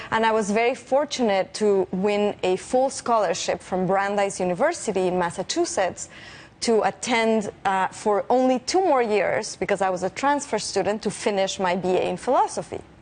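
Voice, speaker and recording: A woman with a Spanish accent talks at a moderate pace with hardly any pauses and very even loudness. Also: medium pitch for a woman, ordinary pitch variation. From Mexico City. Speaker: physicist. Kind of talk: interview.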